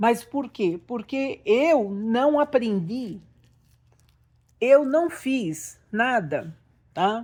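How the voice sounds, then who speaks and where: Against a very clean recording with a silent background, a woman with a fairly high pitch talks at a very slow pace with long, frequent pauses. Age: 60s. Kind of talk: religious teaching monologue. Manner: halting.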